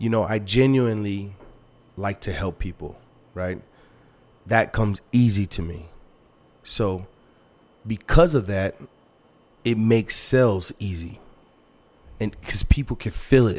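A man with an American accent at a fairly low pitch, animated in tone, fairly slow in pace, with ordinary pitch variation and long, frequent pauses. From El Paso, Texas. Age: 30s. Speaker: car sales manager. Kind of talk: casual chat.

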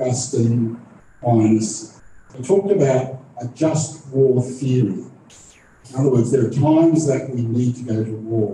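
A man's medium-pitched voice at a fairly slow pace, with long, frequent pauses, ordinary pitch variation and noticeable background noise. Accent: Australian. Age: 60s. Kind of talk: moderating a live panel event. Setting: stage with audience, live streamed.

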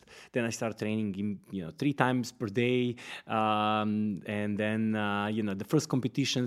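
A man talks with a Serbian accent. The recording is very clean, with a silent background. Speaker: fitness company founder, former karate champion. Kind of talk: casual interview.

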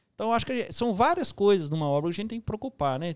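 Lively intonation in a dry, close sound with no echo and a very clean recording against a silent background. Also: man. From Minas Gerais, Brazil. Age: 30s. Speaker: construction site manager. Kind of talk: casual interview.

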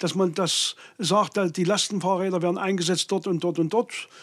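A man talks in a high-pitched voice. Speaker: state politician. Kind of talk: political interview. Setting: studio. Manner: hesitant, many fillers.

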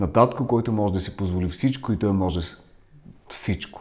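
In a very clean recording with a silent background, a man with a Russian accent speaks at a fairly low pitch with lively intonation. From Ukraine. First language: Russian (speaking Bulgarian). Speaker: voice coach. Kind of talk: interview.

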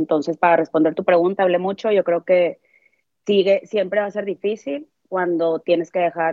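In a normal speaking voice, a woman talks at a fairly quick pace with fairly low pitch and ordinary pitch variation. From Mexico, Monterrey, Nuevo León. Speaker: relocated employee. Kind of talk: casual chat.

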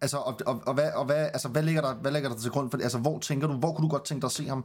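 Very fast and fairly even in intonation, a man speaks at medium pitch. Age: 30s. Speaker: podcast host. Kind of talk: casual chat. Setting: online call, livestream. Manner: halting, many fillers.

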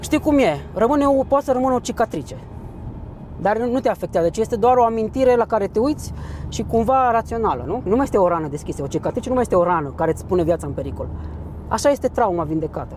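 Noticeable background noise behind a man's high-pitched, very fast voice with lively intonation. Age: 40s. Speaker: psychologist and personal development trainer. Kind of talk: interview.

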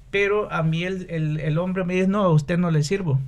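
A man speaks with a somewhat breathy voice. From Honduras, San Pedro Sula. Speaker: businessman and musician. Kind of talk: casual interview.

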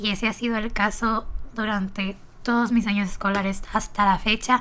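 On a very clean recording with a silent background, a woman speaks at a medium pitch with ordinary pitch variation and a bright, sharp tone. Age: young. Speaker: podcaster, marketing student. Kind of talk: casual monologue. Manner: talkative, chatty.

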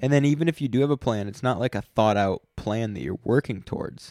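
In a dark, mellow tone, a man talks with lively intonation. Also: dry, close sound with no echo. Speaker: podcast co-host. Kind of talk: casual chat. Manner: slow.

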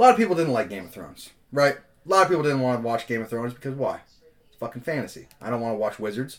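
The delivery is very fast with lively intonation. Loudness swings widely throughout. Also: man. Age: 20s. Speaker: podcast co-host. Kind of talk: casual chat.

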